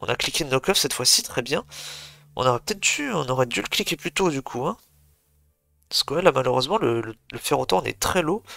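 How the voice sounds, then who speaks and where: Music in the background behind a man's fairly high pitch, with very wide pitch swings, long, frequent pauses and a fairly quick pace, in a dry, close sound with no echo. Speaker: video game commentator. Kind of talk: live commentary. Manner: fast.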